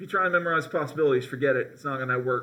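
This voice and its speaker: A man speaks at a fairly high pitch with ordinary pitch variation. His tone is bright and sharp, and room echo is audible. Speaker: high school chemistry teacher. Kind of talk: classroom lecture. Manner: many filler ums.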